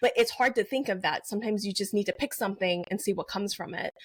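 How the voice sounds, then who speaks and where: The speaker has a Mandarin accent and ordinary pitch variation. The recording is very clean, with a silent background. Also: woman. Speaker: novelist. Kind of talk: interview.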